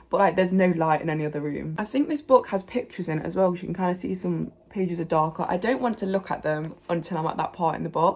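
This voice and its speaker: With an English accent, a woman pitched fairly low speaks at a very fast pace with ordinary pitch variation. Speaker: book vlogger. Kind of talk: casual book review. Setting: home conservatory.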